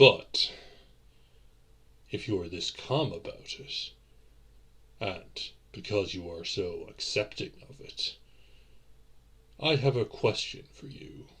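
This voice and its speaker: A man speaks in a put-on character voice at a fairly slow pace. Long pauses break up his speech often. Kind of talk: audio roleplay. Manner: formal, gentle, apologetic.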